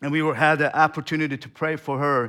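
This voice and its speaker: A man speaks with a Turkmen accent in a bright, sharp tone. The recording is very clean, with a silent background. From Turkmenistan. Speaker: missionary. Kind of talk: sermon. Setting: church. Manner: halting.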